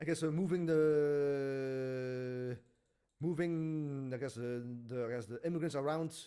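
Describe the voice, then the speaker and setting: A man mumbles at a fairly slow pace in a dark, mellow tone. His intonation stays fairly even. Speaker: video reviewer. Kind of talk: casual review monologue. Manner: halting, many fillers and stutters; mumbling.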